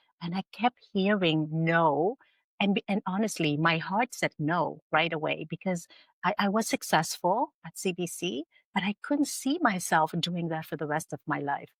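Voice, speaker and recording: On a very clean recording with a silent background, a woman with an ordinary speaking voice talks at a moderate pace. Her pitch is fairly low with ordinary variation, and the sound is dry and close with no echo. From Canada (Vietnamese-born, arrived at age eight). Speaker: entrepreneur and filmmaker. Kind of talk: interview. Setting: podcast.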